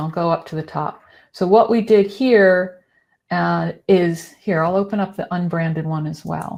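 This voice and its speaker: In a very clean recording with a silent background, a woman speaks at a fairly slow pace. Her medium pitch varies in an ordinary way. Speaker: presenter giving a screen-share demo. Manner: casual, conversational.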